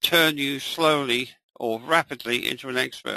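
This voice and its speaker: Fairly high male voice, bright and sharp in tone, with fairly even intonation, a fairly slow pace and a dry, close sound with no echo. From England. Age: 80s+. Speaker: trading educator. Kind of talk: live webinar tutorial. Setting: live online session.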